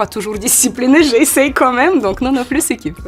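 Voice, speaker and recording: Music plays in the background as a woman speaks with a Ukrainian accent. She moves at a fairly quick pace with lively intonation. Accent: Ukrainian accent in French, noticeable. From Ukraine. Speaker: model and content creator. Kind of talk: interview. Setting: photo studio. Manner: halting.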